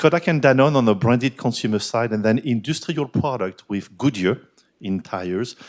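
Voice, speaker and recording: At a fairly quick pace, a man with a French accent speaks at a medium pitch with ordinary pitch variation, in a very clean recording with a silent background. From France. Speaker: business executive and board director. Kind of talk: keynote talk at a business forum.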